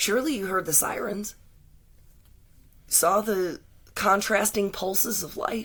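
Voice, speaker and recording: Through a raspy, put-on character voice at a fairly high pitch, the speaker goes at a fairly slow pace with long, frequent pauses. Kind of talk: spoken-word poetic storytelling. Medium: read story. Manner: measured, lyrical.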